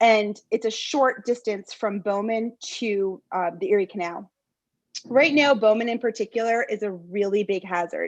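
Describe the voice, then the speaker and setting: A plain, everyday voice moves at a moderate pace with ordinary pitch variation against a quiet background. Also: woman, fairly high pitch for a woman. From US Northeast, central New York. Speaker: local resident addressing town board. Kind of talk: public comment at town meeting.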